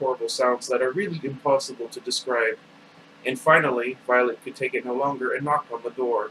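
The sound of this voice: An unforced reading voice carries this recording.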